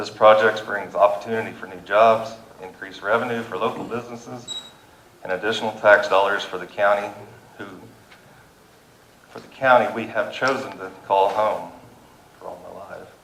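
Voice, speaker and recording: At a moderate pace, a man with a fairly low pitch talks in a fairly even intonation, with long, frequent pauses, big swings in loudness, audible room echo and noticeable background noise. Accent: Kansas. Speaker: farmer and landowner speaking at public meeting. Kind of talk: public comment at county meeting. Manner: halting.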